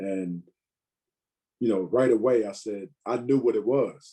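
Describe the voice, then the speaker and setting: A man's dark, mellow tone. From Virginia, US. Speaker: stand-up comedian. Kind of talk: casual interview chat. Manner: many fillers (you know, um).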